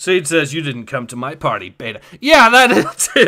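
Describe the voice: What we hear is plain reading aloud.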